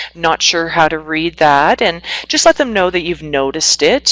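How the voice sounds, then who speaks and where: A woman with a Canadian accent speaks at a moderate pace, in an ordinary speaking voice. Her pitch is fairly low with ordinary pitch variation, and the sound is dry and close with no echo. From Northwestern Ontario, Canada. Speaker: psychotherapist. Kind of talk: webinar presentation.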